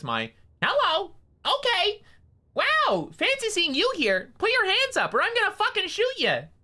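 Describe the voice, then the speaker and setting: Extremely high pitch from a man in a put-on character voice, moderate in pace. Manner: silly, then threatening.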